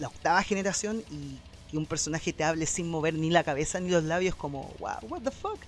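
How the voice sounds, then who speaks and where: This man talks loudly, at a fairly quick pace. His pitch is high, and his intonation is lively. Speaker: video game news podcast host. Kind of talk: casual chat.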